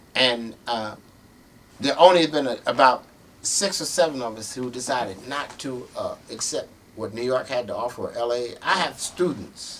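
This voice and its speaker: Here a man with an unremarkable speaking voice talks at a moderate pace in a medium pitch, with ordinary pitch variation and big swings in loudness. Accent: American. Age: 60s. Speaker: jazz musician. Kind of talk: interview.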